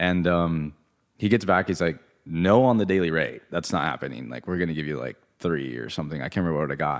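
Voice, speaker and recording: A man's very deep, low voice with vocal fry, ordinary pitch variation and a very fast pace, on a very clean recording with a silent background. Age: 30s. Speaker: artist and graphic designer. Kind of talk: casual interview. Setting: studio.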